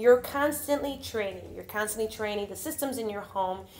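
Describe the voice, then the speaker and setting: A woman's animated tone and lively intonation, with music in the background. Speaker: vlogger and faith-based parenting speaker. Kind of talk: motivational vlog talk.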